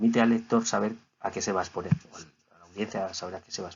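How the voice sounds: A man's very fast delivery at a fairly low pitch, with fairly even intonation, vocal fry and a slightly husky edge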